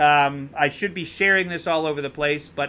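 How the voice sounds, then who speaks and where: A man speaks at a moderate pace with a Connecticut accent, his pitch fairly high and his tone bright and sharp. His pitch moves with ordinary variation. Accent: Connecticut accent, noticeable. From Connecticut, near Bridgeport. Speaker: talk show host and boat captain. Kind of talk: live call-in talk show. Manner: casual, joking.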